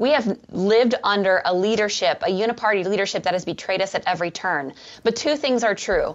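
In an unremarkable speaking voice, a woman talks at a medium pitch and a fairly quick pace, with lively intonation and very even loudness. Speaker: conservative policy think tank staffer. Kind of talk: panel discussion on politics.

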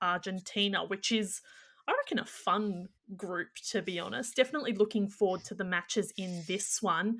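Here a woman talks at a moderate pace. Her pitch is medium and her intonation fairly even. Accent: Australian. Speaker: podcast host. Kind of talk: casual chat.

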